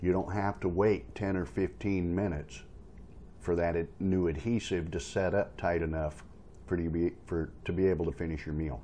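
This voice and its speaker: Very deep and low, a man's voice has a dark, mellow tone, with light background noise underneath. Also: ordinary pitch variation, moderate pace. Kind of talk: casual tutorial vlog. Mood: encouraging, friendly. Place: home room. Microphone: phone near.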